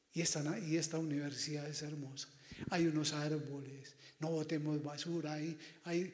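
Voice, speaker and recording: A man at a fairly slow pace. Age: 60s. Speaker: priest. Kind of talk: pastoral talk to students. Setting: auditorium with student audience. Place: hall.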